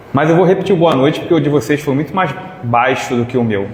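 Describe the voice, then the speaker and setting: A man talks with ordinary pitch variation. Audible room echo and noticeable background noise fill the recording. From Rio de Janeiro, Brazil (Irajá). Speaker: spiritist lecturer. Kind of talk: lecture. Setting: hall with live audience. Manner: loud; animated.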